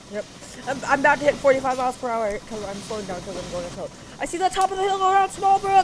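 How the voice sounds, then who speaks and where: A woman's high-pitched, excited voice at a very fast pace, with very wide pitch swings, big swings in loudness and noticeable background noise. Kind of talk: casual gameplay commentary. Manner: excited, chatty.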